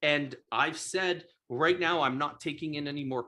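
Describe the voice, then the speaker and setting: With a strong French accent, a man speaks at a fairly high pitch in an animated, bright, sharp tone with ordinary pitch variation. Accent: thick French. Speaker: real estate investor and coach. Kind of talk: live stream sales pitch. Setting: live video stream.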